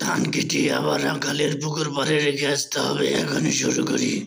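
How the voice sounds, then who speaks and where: A man does a raspy, cartoonish character voice at a moderate pace. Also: fairly high pitch for a man. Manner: boastful, easily fooled.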